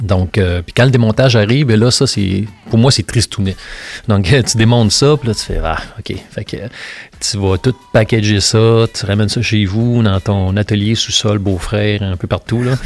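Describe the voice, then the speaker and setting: A man with a Quebec accent talks at a moderate pace in a fairly low voice, his intonation fairly even, with music playing in the background. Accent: Québécois French. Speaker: sculptor. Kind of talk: interview conversation. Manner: casual, hesitant with many fillers.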